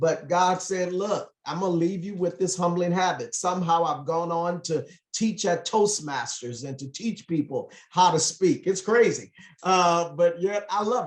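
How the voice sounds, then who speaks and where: A man with an American accent, high-pitched, at a moderate pace, with ordinary pitch variation. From US West Coast, Los Angeles. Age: 50s. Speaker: motivational speaker and business trainer. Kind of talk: motivational talk on a group call. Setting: group call.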